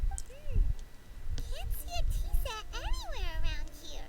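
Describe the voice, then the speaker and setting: A put-on character voice, squeaky and extremely high, speaks fairly slowly over loud background noise. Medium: video game.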